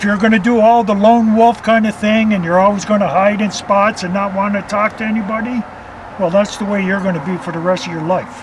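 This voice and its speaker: There is noticeable background noise as a man speaks at a fairly quick pace. His pitch is high, with ordinary variation. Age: 60s. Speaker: carp angler. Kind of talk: interview.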